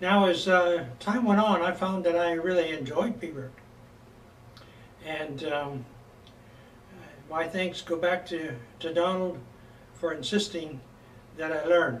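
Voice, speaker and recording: Amid audible room echo, a man with a high voice talks fairly slowly with ordinary pitch variation and long, frequent pauses. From California, US. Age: 70s. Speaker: bagpipe instructor. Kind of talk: lecture. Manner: halting, many fillers.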